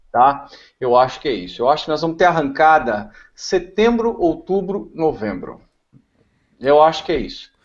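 Against a quiet background, a man with a fairly high pitch speaks at a moderate pace, with very wide pitch swings and long, frequent pauses. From Brazil. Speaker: car tuning specialist; talk show guest. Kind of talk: casual chat. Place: home room. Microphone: video call.

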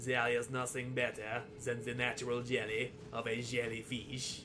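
A man does a put-on character voice with a French accent. Loud background noise fills the recording. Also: medium pitch for a man, moderate pace. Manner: dramatic, documentary narration.

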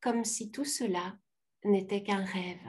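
Over a quiet background, a woman talks at a very slow pace in a somewhat breathy voice with ordinary pitch variation. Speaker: participant. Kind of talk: question and answer session. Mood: warm, emotional, smiling. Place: home room. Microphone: video call.

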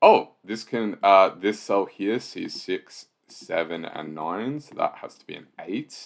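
Against a quiet background, a man speaks at a very slow pace with big swings in loudness. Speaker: sudoku solver and video host; video host. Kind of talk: puzzle-solving walkthrough. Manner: casual with frequent fillers. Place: home room.

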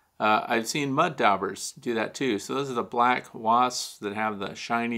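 A man speaks against a quiet background. His tone is bright and sharp. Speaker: beekeeping show host. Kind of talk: live Q&A commentary. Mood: relaxed, interested. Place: studio.

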